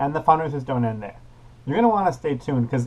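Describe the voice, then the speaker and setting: This man's voice is fairly high and somewhat breathy. His intonation is lively, and his tone is upbeat. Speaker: youth parliament premier. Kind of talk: casual vlog to camera.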